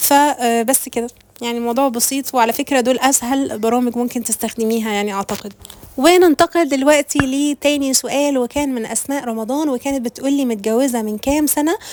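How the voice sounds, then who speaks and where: Noticeable background noise is present. A woman speaks at a high pitch. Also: ordinary pitch variation, moderate pace. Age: 30s. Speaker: vlogger. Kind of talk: casual chat. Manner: casual.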